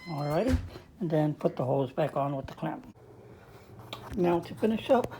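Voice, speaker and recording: A woman's very deep, low voice at a moderate pace, with big swings in loudness and long, frequent pauses. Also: lively intonation. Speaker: appliance repair technician. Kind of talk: tutorial. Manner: casual.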